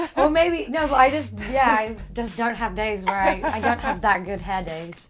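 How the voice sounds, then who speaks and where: A woman with a British accent at a fairly high pitch and moderate pace, with lively intonation and music in the background. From England. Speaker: actress. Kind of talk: interview answer. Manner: casual, chatty.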